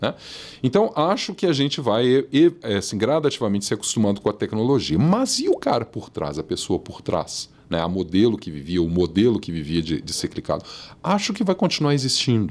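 Very wide pitch swings at a moderate pace. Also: man. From Brazil, moved around (Santos, Salvador, abroad), settled in Minas Gerais; Minas Gerais, Brazil. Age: 40s. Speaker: marketing executive and professor; professor. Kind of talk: casual interview. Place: studio. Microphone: studio mic.

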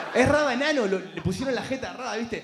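A man speaks at a very fast pace with an extremely high pitch and ordinary pitch variation. Noticeable background noise runs under his voice. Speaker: comedian. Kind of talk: stand-up. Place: stage. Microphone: handheld.

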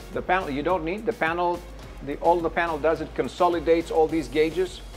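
Faint music can be heard in the background. Over it, a man talks. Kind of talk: interview answer, product demo. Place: shop. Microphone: lapel.

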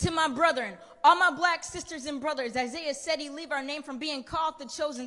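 An animated, passionate tone in a raised, projected voice with an American accent, at a fairly quick pace with ordinary pitch variation and a quiet background. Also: woman. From US. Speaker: spoken word poet. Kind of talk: spoken word poetry performance. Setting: stage with audience. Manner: animated, rhythmic, passionate delivery with rhetorical build-up; emphatic and preacher-like, urgent. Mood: urgent, preaching tone. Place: stage. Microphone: handheld.

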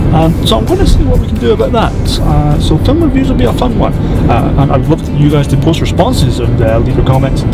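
Loud background noise is present throughout. Over it, a man speaks very fast. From Scotland. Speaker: filmmaker and photographer. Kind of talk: casual vlog talk to camera. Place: car. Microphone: camera far.

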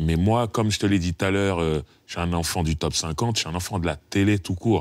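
A man with a very deep, low pitch, at a moderate pace and fairly even intonation. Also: dry sound with no echo. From France, Paris suburbs (Sarcelles); France. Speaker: rapper; interviewee. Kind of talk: casual chat. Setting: studio. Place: studio.

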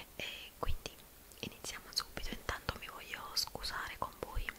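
A soft-spoken woman whispering at a moderate pace. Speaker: ASMR creator. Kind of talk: soft ASMR chat while doing makeup. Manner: soft close-mic whisper. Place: home room. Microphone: studio mic.

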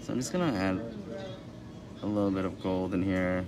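Noticeable background noise sits behind the speech. A man talks at a moderate pace with ordinary pitch variation. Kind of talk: tutorial. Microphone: camera far.

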